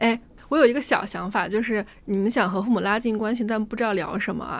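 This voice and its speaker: A woman's fairly high-pitched, fairly quick delivery in a plain, everyday voice. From Gansu, Tianshui. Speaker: podcast co-host. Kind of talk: casual chat.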